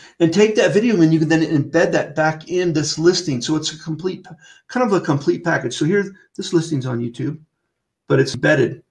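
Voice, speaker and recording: Fairly high in pitch, a man speaks at a fairly quick pace. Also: ordinary pitch variation. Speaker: webinar trainer for real estate software. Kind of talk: webinar tutorial. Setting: online webinar with screen share. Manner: fast.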